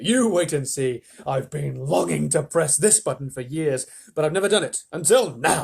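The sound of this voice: Lively in intonation, a man performs a put-on character voice at a fairly high pitch, with vocal fry, a husky, rough edge and a slightly mellow tone. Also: moderate pace.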